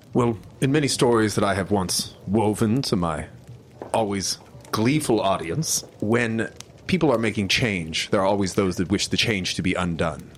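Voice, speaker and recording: At a moderate pace, a man uses a normal speaking voice with a fairly low pitch, ordinary pitch variation and very even loudness. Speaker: tabletop game player. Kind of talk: tabletop role-playing game session.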